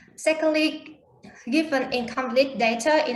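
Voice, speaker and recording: There is audible room echo around a woman whose intonation stays fairly even. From Vietnam. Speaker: conference presenter. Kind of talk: Q&A answers; conference presentation. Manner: halting.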